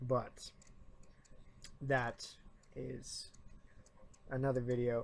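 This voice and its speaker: Pausing long and often, a man talks at a very slow pace. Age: 20s. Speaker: YouTuber and college student. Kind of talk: opinion rant vlog. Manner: trying to speak louder; halting.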